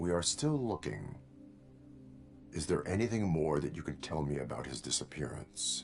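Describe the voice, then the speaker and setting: A put-on character voice at a moderate pace, broken by long, frequent pauses, with clear music playing in the background. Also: man, very deep, low pitch for a man. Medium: video game. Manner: formal, literal, clipped.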